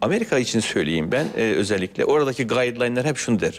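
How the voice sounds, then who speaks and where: A man speaks at a fairly quick pace and a medium pitch. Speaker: transplant surgeon. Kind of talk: TV health interview. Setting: studio. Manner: formal. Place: studio. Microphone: lapel.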